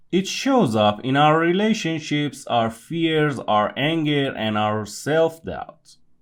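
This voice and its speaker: A man with a non-native accent, fairly high pitch and a very slow pace. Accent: non-native accent, noticeable. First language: not English. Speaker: podcast host. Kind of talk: scripted monologue.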